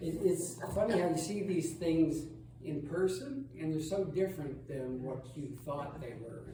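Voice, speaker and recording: A loud man, fairly high in pitch, at a fairly slow pace with ordinary pitch variation, plus audible room echo and noticeable background noise. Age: old. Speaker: travel presenter at church lunch. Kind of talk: illustrated slideshow talk. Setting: church hall with audience. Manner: loud, projecting.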